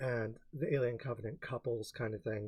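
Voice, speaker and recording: Somewhat breathy, this voice proceeds at a moderate pace. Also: man. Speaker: film reviewer and blogger. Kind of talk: casual film reaction and commentary. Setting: home recording, quiet uneven mic.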